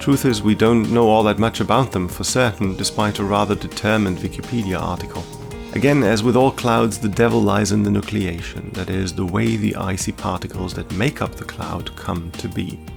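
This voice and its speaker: A man with a fairly low voice talks at a fairly quick clip in a calm, relaxed tone, with ordinary pitch variation and hardly any pauses, while music plays in the background. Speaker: science podcaster, channel owner. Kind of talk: educational science narration, podcast. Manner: calm, relaxed, unintentionally ASMR-like.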